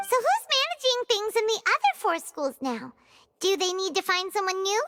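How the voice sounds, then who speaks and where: Squeaky and extremely high, a put-on character voice proceeds at a moderate pace. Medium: video game. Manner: casual, curious.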